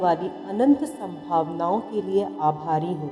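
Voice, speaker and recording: Over music in the background, a woman speaks in a calm tone with very wide pitch swings. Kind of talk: guided affirmations read. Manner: slow, calm.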